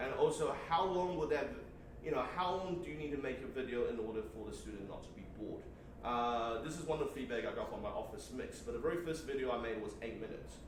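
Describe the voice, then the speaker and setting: A man's fairly high, lively voice at a very fast pace, with audible room echo and noticeable background noise. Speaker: teacher presenting workshop. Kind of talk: workshop presentation. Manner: halting, many fillers and repeats.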